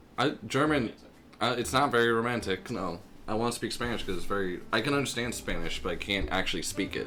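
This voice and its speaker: Music in the background behind a man's very fast speech. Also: medium pitch for a man, ordinary pitch variation. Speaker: convention artist. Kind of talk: casual comedy podcast banter.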